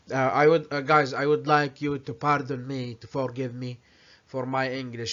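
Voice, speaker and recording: A man speaks with an Arabic accent. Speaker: vlogger. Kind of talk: commentary with reading aloud. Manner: halting.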